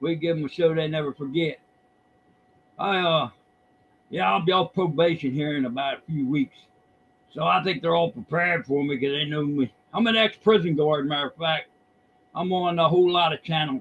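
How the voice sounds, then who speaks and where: The man's pitch is fairly high, with ordinary pitch variation. He moves at a moderate pace and leaves long, frequent pauses. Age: 60s. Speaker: caller, retired prison guard. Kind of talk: casual chat.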